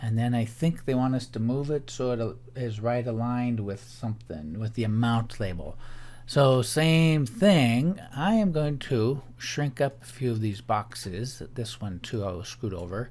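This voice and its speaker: At a fairly slow pace, a man with a medium pitch and lively intonation has an unremarkable speaking voice. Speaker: teacher. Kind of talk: tutorial.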